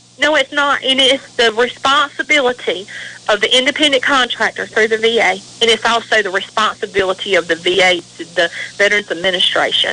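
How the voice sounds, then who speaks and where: Over noticeable background noise, a woman talks with a slight Southern US accent. Her pitch is fairly high and her loudness very even. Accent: Southern US drawl, slight. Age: 40s. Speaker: veteran's widow and advocate. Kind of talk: radio interview. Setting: radio show. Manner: emotional, impassioned.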